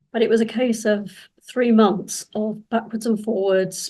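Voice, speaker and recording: A woman's dark, mellow voice in a British accent, monotone and flat, at a fairly slow pace. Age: 70s. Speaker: cancer survivor. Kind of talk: testimony. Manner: halting.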